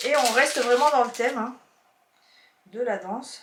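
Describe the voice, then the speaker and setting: A woman's high voice at a fairly slow pace, with audible room echo. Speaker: YouTuber, haul vlogger. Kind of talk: casual haul video chat. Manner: chatty, halting with fillers.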